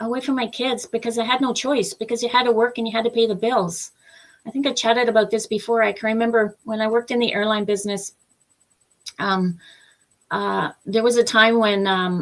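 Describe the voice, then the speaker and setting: In a Canadian accent, an unremarkable speaking voice moves at a fairly quick pace with fairly even intonation. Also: woman, fairly high pitch for a woman. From Eastern Canada. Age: 60s. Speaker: business opportunity promoter, former airline worker. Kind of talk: live interview testimony. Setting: live-streamed video chat.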